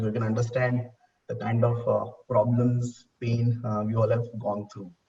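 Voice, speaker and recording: This man's voice sits at a medium pitch. His intonation is monotone and flat. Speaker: salon business executive. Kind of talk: panel discussion. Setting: video call. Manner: hesitant, many fillers.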